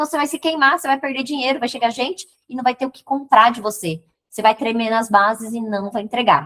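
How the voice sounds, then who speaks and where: With an animated tone and a high pitch, a woman speaks at a fairly quick pace with ordinary pitch variation. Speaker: digital marketing mentor. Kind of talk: live stream teaching. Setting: live stream. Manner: fast.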